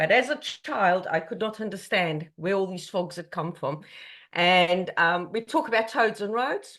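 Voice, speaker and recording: With a South African accent, a woman speaks at a fairly slow pace and medium pitch with lively intonation over a quiet background. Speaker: conservation charity chief executive. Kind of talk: online presentation. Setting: video call.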